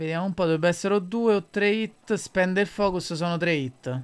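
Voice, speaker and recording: This man talks at a moderate pace with a high pitch. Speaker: esports commentator. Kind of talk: live esports match commentary, describing the board and moves.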